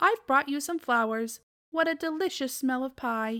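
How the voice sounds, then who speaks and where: A woman's put-on character voice, high in pitch and at a moderate pace, on a very clean recording with a silent background. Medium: read story. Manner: polite, flustered.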